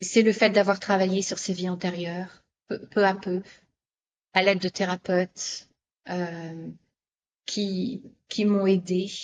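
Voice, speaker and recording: Very slow speech from a woman with fairly even intonation, quiet background. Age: 60s. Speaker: spiritual therapist and author. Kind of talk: interview testimony. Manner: halting, many repetitions and fillers.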